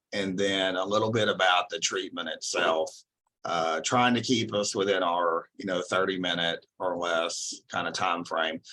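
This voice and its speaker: A man with a Texan accent talks at a fairly slow pace, his pitch very deep and low. His tone is bright and sharp, and his intonation stays fairly even. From Texas. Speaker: psychology professor. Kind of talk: lecture. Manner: casual with frequent fillers.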